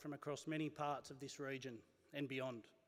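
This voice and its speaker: This man has an Australian accent and a fairly high pitch. He speaks at a fairly quick pace. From Australia, Wellington NSW. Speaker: university executive, event MC. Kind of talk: event MC speech. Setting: stage with audience.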